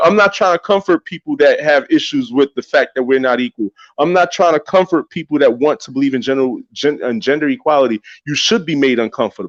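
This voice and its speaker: A man with a New York accent speaks fairly quickly in a fairly high voice. His pitch varies in an ordinary way, and the sound is dry and close with no echo. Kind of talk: religious discussion podcast.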